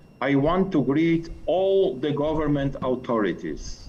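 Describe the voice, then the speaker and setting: A man speaks at a fairly slow pace with a non-native accent. The room echo is audible. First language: not English. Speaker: policy officer at international agency. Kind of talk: formal speech. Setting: video call.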